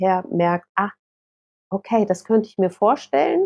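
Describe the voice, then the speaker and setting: A woman at a medium pitch talks at a fairly slow pace. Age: 40s. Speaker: author. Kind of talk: casual chat. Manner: halting.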